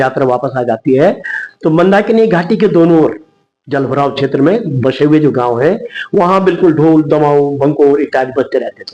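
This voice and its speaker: This man has a plain, everyday voice at a fairly high pitch. His intonation is lively. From Uttarakhand, Garhwal (Guptkashi, Mandakini valley). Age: 60s. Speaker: writer, theatre artist and retired teacher. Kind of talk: interview.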